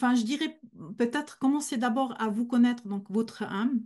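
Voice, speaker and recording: Against a quiet background, a woman with a dark, mellow tone and fairly high pitch talks at a moderate pace with fairly even intonation. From German-speaking Switzerland. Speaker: medium. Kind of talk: Q&A in a masterclass.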